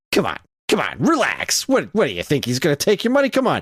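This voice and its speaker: Loud and very fast, a man does a put-on, high-pitched character voice that swings very widely in pitch. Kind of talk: dismissive. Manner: condescending, loud.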